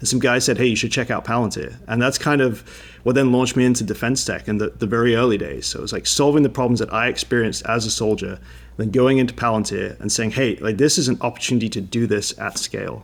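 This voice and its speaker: A man at medium pitch, very fast pace, fairly even intonation and vocal fry. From England. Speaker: defense tech founder and army veteran. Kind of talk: interview.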